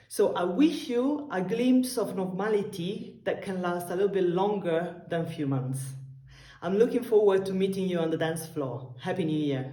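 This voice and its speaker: Speaking at a moderate pace and medium pitch, a woman with an Italian accent makes very wide pitch swings, with audible room echo around her. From Italy. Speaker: tango dancer. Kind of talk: recorded video message.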